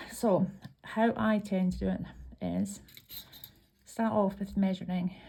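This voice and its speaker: Speaking at a fairly slow pace, a woman talks in a Scottish accent. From Scotland. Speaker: craft tutorial maker. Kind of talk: tutorial. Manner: hesitant, many ums.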